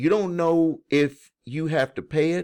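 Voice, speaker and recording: A man with a Southern US accent on a very clean recording with a silent background. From US South. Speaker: credit repair educator. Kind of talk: video explainer to viewers. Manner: casual, conversational with false starts.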